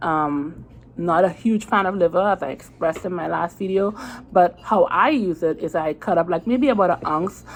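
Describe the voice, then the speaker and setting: Here a woman talks in a Caribbean accent at a moderate pace. Her pitch variation is ordinary, and the background is quiet. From Trinidad. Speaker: diet vlogger. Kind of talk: casual vlog talk to camera. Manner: conversational, many fillers and restarts.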